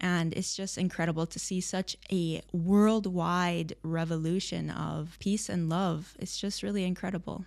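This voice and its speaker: A woman with a US Midwestern accent speaks at a fairly slow pace, with hardly any pauses, fairly even intonation and a fairly low pitch. The recording is very clean, with a silent background. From Michigan, US Midwest. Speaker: religious convert sharing her story. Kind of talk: interview testimony.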